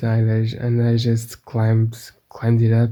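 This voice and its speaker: Speaking at a moderate pace, a man with a Portuguese accent has a dark, mellow tone. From Portugal. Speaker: gaming youtuber. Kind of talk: gameplay commentary. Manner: halting, many repetitions.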